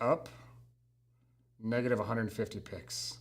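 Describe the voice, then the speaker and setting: This is a man's voice. It has vocal fry. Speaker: marketing trainer. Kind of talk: live tutorial. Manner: casual; fast.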